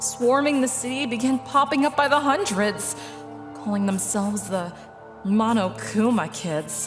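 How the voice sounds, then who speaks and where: With music in the background, the speaker moves at a moderate pace with lively intonation. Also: woman. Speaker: voice actor. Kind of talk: audiobook narration.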